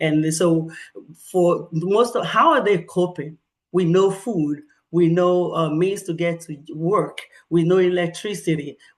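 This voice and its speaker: A woman speaks with a Nigerian accent at a fairly slow pace. Her pitch is fairly low, and the background is quiet. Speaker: professor and researcher. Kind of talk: presentation. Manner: halting.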